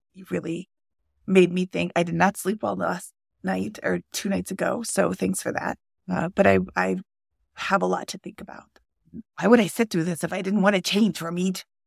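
A woman at a moderate pace with long, frequent pauses, big swings in loudness, and a dry, close sound with no echo. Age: 50s. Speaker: guest, personal finance coaching. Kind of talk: casual chat.

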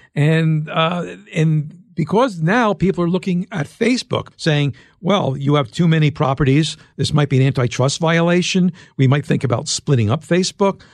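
Speaking at a moderate pace with an American accent, a man with a fairly high voice uses ordinary pitch variation and very even loudness, an unremarkable speaking voice, in a dry, close sound with no echo over a quiet background. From US Northeast, Philadelphia. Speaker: tech journalist and author. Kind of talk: interview.

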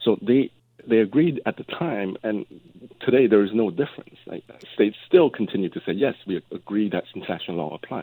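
A man with an unremarkable speaking voice talks at a fairly quick pace and a fairly low pitch. His intonation is lively, with big swings in loudness. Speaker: law professor, space law expert. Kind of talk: radio interview. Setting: phone call.

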